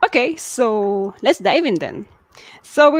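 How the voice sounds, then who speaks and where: A woman speaks with a strong French accent at a very slow pace. Her pitch swings very widely, and the sound is dry and close with no echo. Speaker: web developer. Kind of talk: technical talk.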